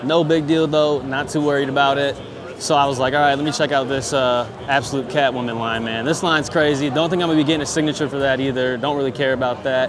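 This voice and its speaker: A man with a fairly high pitch speaks very fast in fairly even intonation, with noticeable background noise and audible room echo. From Michigan, small town. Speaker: vlogger. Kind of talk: vlog filmed on the spot. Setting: convention hall. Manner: stuttering.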